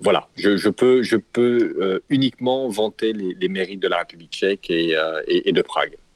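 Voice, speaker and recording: The sound is dry and close, without any echo. Delivery comes at a moderate pace. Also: man. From West Africa, Côte d'Ivoire and Cameroon. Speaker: entrepreneur. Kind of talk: interview. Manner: halting, many repetitions.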